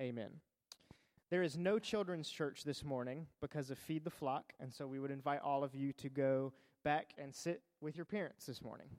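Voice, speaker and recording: Here a man has an unremarkable speaking voice, pitched fairly high. He keeps a moderate pace with ordinary pitch variation. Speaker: church minister leading the service. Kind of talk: welcome announcements. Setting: church.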